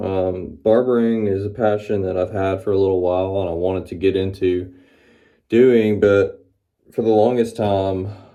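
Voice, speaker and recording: Here a man talks with a Southern US accent at a moderate pace. His fairly low voice has a dark, mellow tone and monotone, flat intonation. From US South, Mississippi (Florence). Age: 30s. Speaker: barber and vlogger. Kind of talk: casual vlog monologue. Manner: rambling with many fillers.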